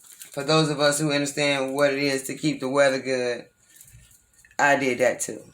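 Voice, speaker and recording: A man is speaking here. His pitch is fairly high and his pace moderate. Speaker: tarot reader. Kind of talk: tarot reading. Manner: casual.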